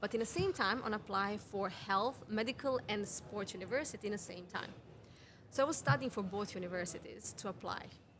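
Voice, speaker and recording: Speaking with a Serbian accent, a woman uses a medium pitch. Her pace is fairly quick. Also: ordinary pitch variation. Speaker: women's health mentor. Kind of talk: podcast interview. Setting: cafe.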